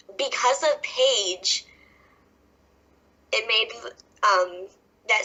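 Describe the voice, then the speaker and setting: Very slowly, a woman speaks with an American accent. Her intonation is lively. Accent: Southern US, stronger when nervous. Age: 20s. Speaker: professional wrestler. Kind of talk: podcast interview. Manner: stumbling when nervous.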